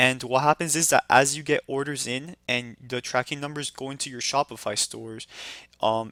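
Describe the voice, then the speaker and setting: On a very clean recording with a silent background, a man with a bright, sharp tone and medium pitch speaks at a moderate pace with fairly even intonation. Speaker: online business course instructor. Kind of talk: screen-recorded tutorial. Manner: casual, with filler words.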